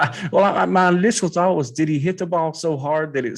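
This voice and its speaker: A man with a Kentucky accent talks fairly quickly at a fairly high pitch. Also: quiet background. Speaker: sports podcast host. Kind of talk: casual chat.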